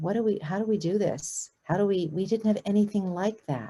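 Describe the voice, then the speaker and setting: A woman with an American accent, dark, mellow tone and a fairly quick pace. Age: 60s. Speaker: documentary filmmaker and citizen diplomat. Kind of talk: guest lecture. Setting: video call. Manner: halting, many restarts and fillers.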